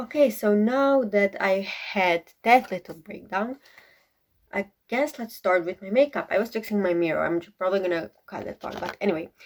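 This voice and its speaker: This speaker, with a Croatian accent, moves at a moderate pace with ordinary pitch variation and big swings in loudness. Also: woman, medium pitch for a woman. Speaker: beauty vlogger. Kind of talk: casual get-ready-with-me vlog.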